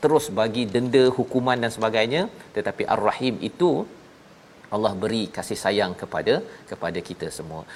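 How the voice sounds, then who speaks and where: This man has a medium pitch, a moderate pace and lively intonation. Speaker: religious TV host. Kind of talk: religious talk show. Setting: studio. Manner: formal.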